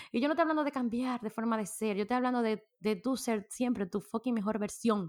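A woman's animated, fairly high-pitched voice with a Dominican accent, in a very clean recording with a silent background. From Dominican Republic. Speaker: podcast host. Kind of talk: casual solo podcast monologue. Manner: animated, frequent laughter.

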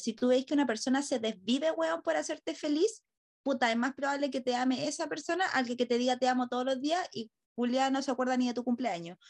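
A woman with a Chilean accent, high pitch and a fairly quick pace against a quiet background. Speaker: podcast host. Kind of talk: casual chat.

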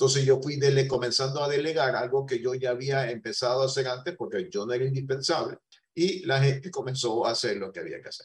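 A man speaks very fast in a medium, somewhat breathy voice. His volume swings up and down by large amounts. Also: ordinary pitch variation. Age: 60s. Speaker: business owner. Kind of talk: interview.

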